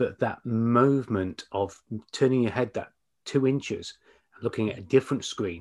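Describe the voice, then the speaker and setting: A man with a British accent speaks in a medium pitch at a moderate pace. His loudness swings widely against a quiet background. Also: ordinary pitch variation. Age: 50s. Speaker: business coach and podcast host. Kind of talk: casual interview. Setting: video call.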